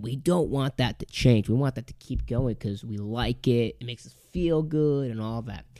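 A man with an American accent speaks at a medium pitch in a dark, mellow tone. His pitch varies in an ordinary way at a moderate pace, in a very clean recording with a silent background. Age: 20s. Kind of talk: solo podcast monologue, motivational faith talk. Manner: casual, with frequent fillers and repetitions.

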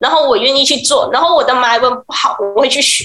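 Her voice is high and pitched upward. She speaks loudly, projecting outward. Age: 20s. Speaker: pet communicator. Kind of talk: radio interview.

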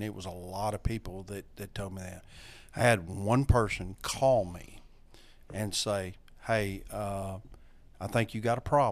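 A man with a Louisiana accent at a fairly low pitch and moderate pace, with fairly even intonation, in a very clean recording over a silent background. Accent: Southern US (Louisiana). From North Louisiana. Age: 60s. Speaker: recovering alcoholic, AA sponsor. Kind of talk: personal testimony. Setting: studio.

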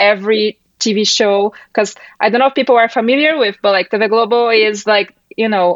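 Fairly high in pitch, a woman talks at a moderate pace with a Brazilian accent. The sound is dry and close, with no echo. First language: Portuguese. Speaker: MMA journalist. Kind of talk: casual interview chat.

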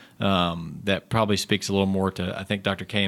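A man speaks in a Southern US accent. His pitch is very deep and low. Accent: Southern US, noticeable. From southeastern North Carolina. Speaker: psychiatrist, veteran services director. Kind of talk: interview conversation.

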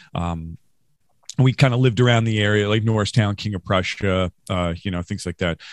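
In a very clean recording with a silent background and a dry, close sound with no echo, a man with an American accent speaks in an ordinary speaking voice, fairly low in pitch, with ordinary pitch variation at a moderate pace. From Western New York, Rochester. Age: 40s. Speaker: podcast host, musician. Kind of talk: casual interview.

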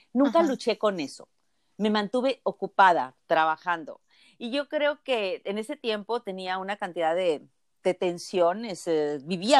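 With lively intonation, a woman at medium pitch speaks at a fairly slow pace in a plain, everyday voice, on a very clean recording with a silent background and a dry, close sound with no echo. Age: 60s. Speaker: physician and healer. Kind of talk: interview.

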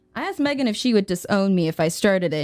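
Noticeable background noise surrounds a woman speaking at a fairly quick pace. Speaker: voice actor. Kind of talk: casual chat.

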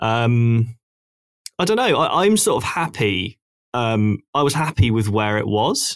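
A man with a medium pitch speaks slowly-ish, at a fairly slow pace, in an ordinary speaking voice with lively intonation. The sound is dry and close, with no echo. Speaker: podcast host. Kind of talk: casual chat.

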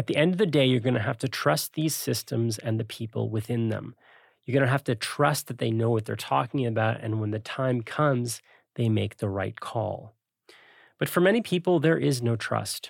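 Recorded very cleanly against a silent background, with a dry, close sound and no echo, a man with a plain, everyday voice talks at a moderate pace in a medium pitch with lively intonation. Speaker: podcast host. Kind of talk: scripted narration and interview.

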